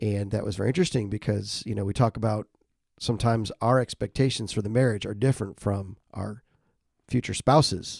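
A man with a medium pitch and a dark, mellow tone speaks at a fairly quick pace with fairly even intonation. The sound is dry and close, with no echo. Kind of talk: casual interview, personal story.

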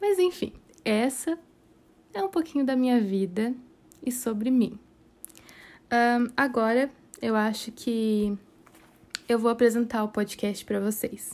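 A woman with a fairly high pitch speaks at a fairly slow pace, leaving long, frequent pauses. Her pitch variation is ordinary. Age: 20s. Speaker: podcast host, aspiring astrophysics student. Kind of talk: casual monologue.

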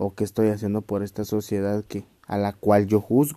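This man speaks with a Guatemalan accent at a fairly slow pace. His tone is dark and mellow. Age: 20s. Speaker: podcaster. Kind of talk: solo podcast monologue. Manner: casual.

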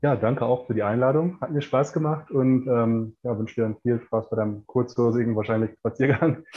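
Speaking in a normal speaking voice, a man keeps a medium pitch and a moderate pace with ordinary pitch variation and hardly any pauses. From Ruhr area, Germany (Bochum). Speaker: performance coach and author. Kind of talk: interview. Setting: remote call from Mexico.

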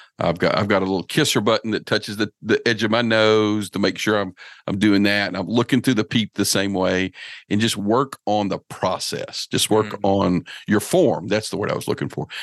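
This man has a normal speaking voice, fairly low in pitch and delivered at a fairly quick pace. The sound is dry and close with no echo, over a quiet background. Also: fairly even intonation. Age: 50s. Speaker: bowhunter and outdoor podcast host. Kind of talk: casual interview chat.

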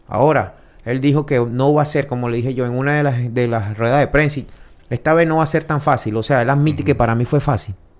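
Here a man speaks at a very fast pace. His voice is medium in pitch with fairly even intonation. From Venezuela. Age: 30s. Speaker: mixed martial arts fighter. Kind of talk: casual interview.

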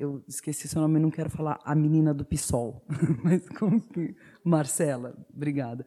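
At a fairly slow pace, a woman speaks in a very deep, low voice with a dark, mellow tone and fairly even intonation. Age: 40s. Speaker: YouTuber and theatre actress. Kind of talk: panel talk.

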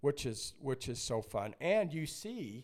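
Lively intonation in a somewhat breathy male voice. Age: 60s. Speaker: basketball coach and company founder. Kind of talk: casual chat.

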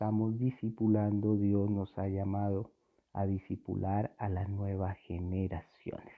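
Fairly low pitch from a man at a fairly slow pace, an ordinary speaking voice. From Colombia. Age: 40s. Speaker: youth pastor. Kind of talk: sermon.

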